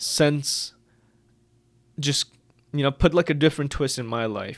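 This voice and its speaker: In a very clean recording over a silent background, a man with a non-native accent speaks with fairly even intonation. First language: not English. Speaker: book reviewer / video creator. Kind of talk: casual vlog monologue. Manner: hesitant, filler-heavy.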